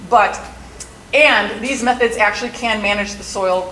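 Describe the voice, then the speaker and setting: A woman with a fairly high voice speaks in a room with audible echo and noticeable background noise. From Milwaukee, Wisconsin, US Midwest. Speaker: soil scientist, stormwater educator. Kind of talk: conference presentation. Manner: fast.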